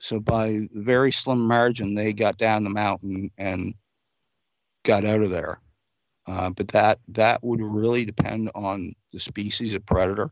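A man's fairly low, monotone voice with flat intonation at a fairly slow pace. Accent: Canadian Maritime. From Nova Scotia, Canada. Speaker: outdoor guide, listener asking questions. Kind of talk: casual Q&A chat.

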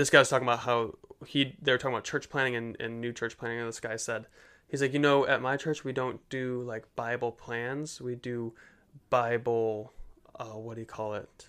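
A man talks at a fairly quick pace with a medium pitch and a bright, sharp tone. His intonation is flat and monotone, and the recording is very clean with a silent background. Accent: American. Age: 20s. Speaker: podcast host. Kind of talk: casual chat.

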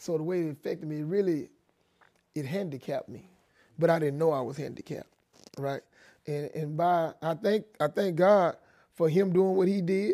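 In an American accent, a man with a high pitch and a dark, mellow tone talks at a moderate pace with ordinary pitch variation and long, frequent pauses. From Texas, Dallas (Oak Cliff). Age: 50s. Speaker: former prisoner. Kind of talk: interview testimony.

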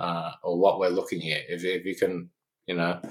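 A man with an Australian accent at a moderate pace. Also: very clean recording, silent background. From Australia, Canberra. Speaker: physicist and consultant. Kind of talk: interview.

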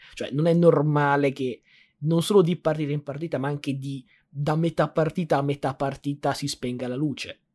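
Over a silent background on a very clean recording, a man talks at a moderate pace in a fairly high pitch with monotone, flat intonation. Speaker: sports podcast co-host. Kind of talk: casual sports chat. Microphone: good microphone brought in suitcase.

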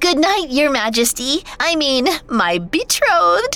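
This is a put-on character voice. It moves at a fairly slow pace with very wide pitch swings. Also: woman, high pitch for a woman. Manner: squealing, excited.

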